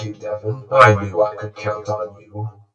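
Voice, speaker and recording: In a put-on character voice, a man talks at a moderate pace and a fairly low pitch, his intonation monotone and flat, with a slight echo around him. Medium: read story. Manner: gloating, boastful.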